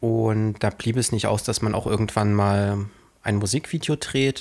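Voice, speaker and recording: Speaking at a fairly slow pace, a man with an unremarkable speaking voice keeps a fairly low pitch and fairly even intonation. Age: 20s. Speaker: filmmaker and podcast co-host. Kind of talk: casual chat.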